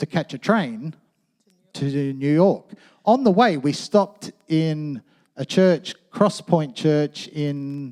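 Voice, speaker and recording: In an Australian accent, the speaker talks at a very slow pace with long, frequent pauses, a dark, mellow tone and lively intonation, the sound dry and close with no echo. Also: man, fairly high pitch for a man. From Australia, western suburbs of Sydney. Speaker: pastor. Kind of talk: sermon. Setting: church. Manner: casual.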